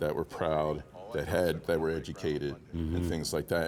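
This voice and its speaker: In a Baltimore accent, a man speaks with a very deep, low pitch and fairly even intonation. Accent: Baltimore, US Mid-Atlantic. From Baltimore, Maryland. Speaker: actor; former naval officer and police officer. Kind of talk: interview answer.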